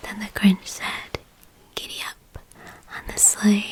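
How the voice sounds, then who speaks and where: Very slowly, a voice whispers while noticeable noise carries on in the background. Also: woman. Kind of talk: ASMR whispered story reading. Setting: dimly lit, soothing bedtime atmosphere. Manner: whispered, soft-spoken.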